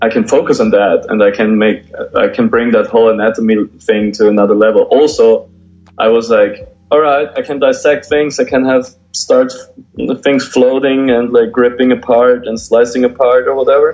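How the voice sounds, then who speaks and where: Music plays in the background. Over it, a man talks with a German accent. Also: moderate pace. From Austria. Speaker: graffiti artist and painter. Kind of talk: interview.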